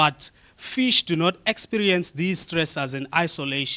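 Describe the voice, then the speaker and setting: Fairly high in pitch, a man speaks with a bright, sharp tone and ordinary pitch variation. His fairly slow delivery sounds dry and close, with no echo. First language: a South African click language. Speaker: researcher. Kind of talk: conference talk.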